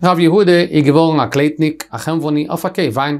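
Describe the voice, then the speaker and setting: Against a quiet background, a man speaks fairly quickly in an unremarkable speaking voice with a fairly high pitch. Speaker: Talmud teacher. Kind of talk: lecture. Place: studio.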